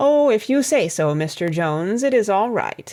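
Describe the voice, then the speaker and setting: This put-on character voice moves at a moderate pace with very wide pitch swings. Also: woman, medium pitch for a woman. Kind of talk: audiobook character voice. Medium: read story. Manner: gloomy, deferential.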